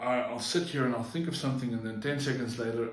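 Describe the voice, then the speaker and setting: Audible room echo and noticeable background noise surround a man speaking at a medium pitch with ordinary pitch variation. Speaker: vlogger. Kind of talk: personal vlog monologue. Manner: halting, frequent slips and fillers.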